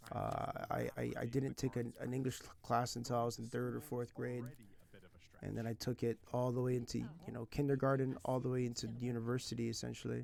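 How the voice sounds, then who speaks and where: Light background noise sits behind the recording. A man talks at a fairly quick pace. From California. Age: 30s. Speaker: language teacher and streamer; language teacher, streamer. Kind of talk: casual live stream chat. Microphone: headset.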